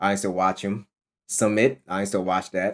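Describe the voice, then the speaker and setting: In a fairly low pitch, a man speaks at a fairly quick pace with monotone, flat intonation. The recording is very clean, with a silent background. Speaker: streamer reacting to videos. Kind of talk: casual reaction commentary. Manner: loud.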